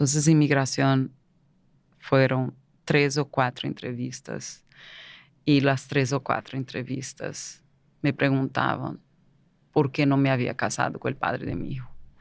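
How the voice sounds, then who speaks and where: A woman with a Portuguese accent speaks at a fairly slow pace in a very deep, low voice with vocal fry and flat, monotone intonation. Long pauses come often, and the recording is very clean with a silent background. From Brazil. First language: Portuguese (speaking Spanish). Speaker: migrant entrepreneur. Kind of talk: interview. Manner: halting.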